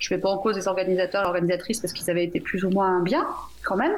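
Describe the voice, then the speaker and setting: The speaker is a woman with a medium pitch. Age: 40s. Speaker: software engineering team lead. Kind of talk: radio panel discussion. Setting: remote call into radio studio.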